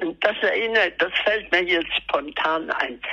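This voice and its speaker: Noticeable background noise behind a woman talking. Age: 80s+. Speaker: artist. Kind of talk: interview. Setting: phone call. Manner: halting. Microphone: telephone line, lower sound quality.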